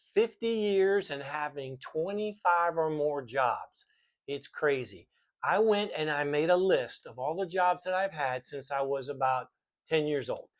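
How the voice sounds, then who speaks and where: A man with an American accent speaks at a fairly slow pace, his pitch fairly high. His pitch variation is ordinary, and the background is quiet. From US South, Miami, Florida. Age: 60s. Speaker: vlogger sharing life lessons. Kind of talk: casual monologue to camera. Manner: hesitant, many fillers.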